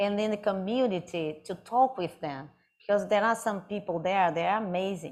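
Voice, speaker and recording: At a moderate pace, a woman with a Brazilian Portuguese accent speaks with ordinary pitch variation. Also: medium pitch for a woman. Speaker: artist. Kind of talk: audience Q&A at a live talk. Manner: halting.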